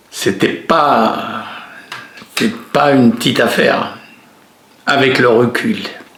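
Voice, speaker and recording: Over noticeable background noise and audible room echo, the speech moves at a very slow pace with long, frequent pauses and very even loudness. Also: man. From France, Gironde (Bordeaux region). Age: 80s+. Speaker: retired merchant sailor. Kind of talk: life story interview.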